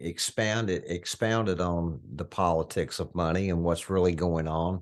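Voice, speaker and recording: A man speaks with a very deep, low pitch against a quiet background. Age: 60s. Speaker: financial educator and conference co-host. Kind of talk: virtual conference panel discussion.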